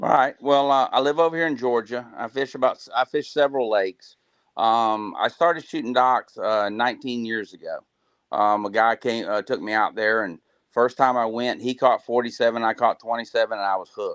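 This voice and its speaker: A man with an American accent at medium pitch, moderate pace and ordinary pitch variation, dry, close sound with no echo, quiet background. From US South, South Florida. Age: 60s. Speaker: crappie angler. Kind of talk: live Q&A interview. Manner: halting, many fillers.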